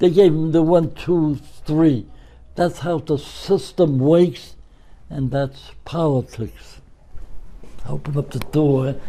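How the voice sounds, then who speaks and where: A man with a Brooklyn accent, fairly high in pitch yet dark and mellow in tone, somewhat breathy, at a very slow pace with long, frequent pauses and ordinary pitch variation. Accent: New York, Brooklyn. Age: 80s+. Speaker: retired florist and pen pal to world leaders. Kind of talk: interview.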